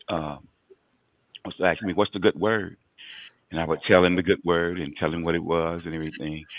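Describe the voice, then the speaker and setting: This man's voice is very deep and low. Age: 60s. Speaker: recovered addict turned outreach worker. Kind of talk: testimony. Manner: halting.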